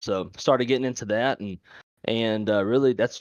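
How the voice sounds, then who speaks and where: Speaking with a Louisiana accent, a man talks at medium pitch with ordinary pitch variation. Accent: Louisiana Southern. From Louisiana, Monroe. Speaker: airline flight dispatcher, sim streamer. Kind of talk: casual podcast interview.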